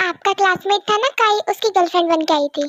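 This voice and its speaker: A woman's squeaky, extremely high-pitched put-on character voice at a very fast pace, dry and close with no echo. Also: ordinary pitch variation. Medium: solo performance. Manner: breezy, cheeky.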